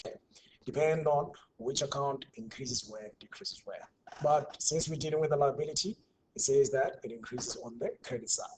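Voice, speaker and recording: A man's somewhat breathy, fairly high voice at a fairly quick pace, with ordinary pitch variation and big swings in loudness. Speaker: university tutor. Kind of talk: online tutorial. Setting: online class.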